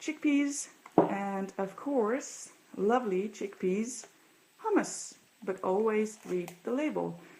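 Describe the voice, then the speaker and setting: Speaking with a Dutch accent, a woman has a dark, mellow tone and ordinary pitch variation. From Netherlands. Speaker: vlogger. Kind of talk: casual show-and-tell vlog.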